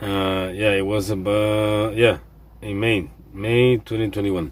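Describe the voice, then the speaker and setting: A man's fairly low voice at a fairly slow pace. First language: not English. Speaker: delivery driver, vlogger. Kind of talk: casual vlog monologue. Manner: halting, many repetitions and fillers.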